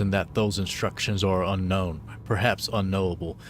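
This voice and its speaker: A man talks at a fairly quick pace. His pitch is fairly low. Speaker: gaming streamer. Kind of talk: reading aloud in-game documents during a game livestream. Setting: livestream. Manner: halting, stumbling over words while reading.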